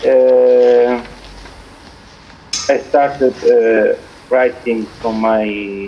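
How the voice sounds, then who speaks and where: At a very slow pace with long, frequent pauses, a man speaks in a monotone, flat intonation at medium pitch over noticeable background noise. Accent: Greek. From Cyprus. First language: Greek. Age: 40s. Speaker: poet. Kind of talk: interview. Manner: halting.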